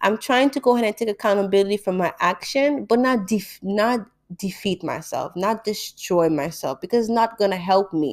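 A normal speaking voice, a woman at medium pitch with ordinary pitch variation. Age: 20s. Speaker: podcast host, graduate student. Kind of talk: personal monologue.

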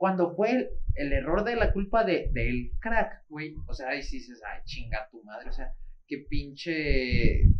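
At a fairly slow pace, a man with a Mexican accent talks with big swings in loudness. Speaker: football podcast co-host. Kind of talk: casual chat.

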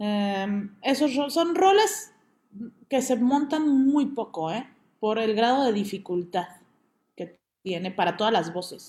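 A woman with fairly high pitch speaks very slowly and somewhat breathily, with very wide pitch swings and long, frequent pauses. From Mexico City. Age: 30s. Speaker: opera singer. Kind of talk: interview.

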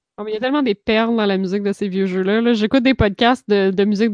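At a very fast pace, a woman speaks at a medium pitch with fairly even intonation, the sound dry and close with no echo. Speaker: podcast co-host. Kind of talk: casual chat. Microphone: new microphone.

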